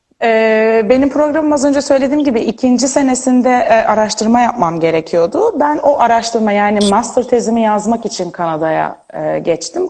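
Her pitch sits fairly high. The woman talks with lively intonation. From Turkey, Izmir. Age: 20s. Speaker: neuroscience graduate student. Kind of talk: interview. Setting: Instagram live video call.

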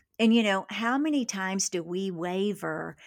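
A woman's unremarkable speaking voice with an American accent, medium in pitch with ordinary pitch variation, at a fairly slow pace on a very clean recording with a silent background. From Kentucky, US South. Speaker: author, speaker, church missions coordinator. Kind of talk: casual conversational interview.

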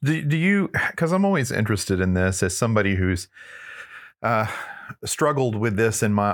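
At a moderate pace, a man with a fairly low pitch speaks with lively intonation and very even loudness in a very clean recording with a silent background. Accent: Texan. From Northeast Texas (Texarkana). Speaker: church podcast host. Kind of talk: interview conversation.

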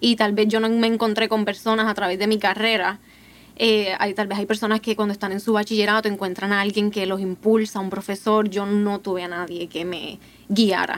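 The woman keeps a mid-range pitch and a moderate tempo, her intonation flat and monotone. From Puerto Rico, Ponce. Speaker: PhD student in neuroscience. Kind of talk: casual panel conversation.

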